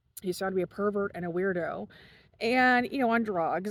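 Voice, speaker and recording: This woman talks at a fairly quick pace with ordinary pitch variation, on a very clean recording with a silent background. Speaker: commentary vlogger. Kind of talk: casual monologue. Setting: outdoors. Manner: fast.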